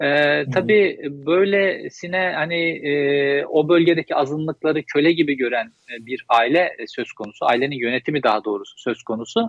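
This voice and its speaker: A man talks in a normal speaking voice at a fairly high pitch, with lively intonation, a fairly quick pace and hardly any pauses, in a dry sound with no echo over a quiet background. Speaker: journalist guest. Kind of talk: interview. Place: home room. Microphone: video call.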